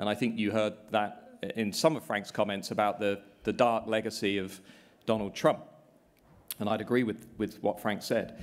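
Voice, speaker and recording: A man with a British accent, fairly low pitch, monotone and flat intonation, and a moderate pace. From England. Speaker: politics professor. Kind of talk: panel discussion. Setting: stage with live audience. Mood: measured, somewhat pessimistic. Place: hall.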